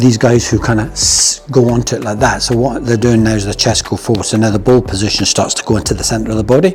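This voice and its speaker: A man with a medium pitch talks at a very fast pace with hardly any pauses. His intonation is fairly even over noticeable background noise. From Scotland. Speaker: golf coach. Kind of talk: tutorial. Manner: casual.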